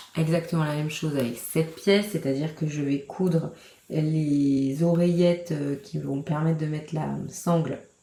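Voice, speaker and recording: Amid noticeable background noise, a woman speaks fairly slowly in a very deep, low pitch. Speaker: crafting vlogger. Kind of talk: casual vlog talk. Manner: monotone; hesitant, many fillers.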